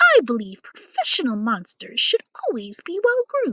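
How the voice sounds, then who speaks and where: A put-on character voice, female-sounding and high-pitched for a woman, at a moderate pace. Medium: read story. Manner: polite, refined.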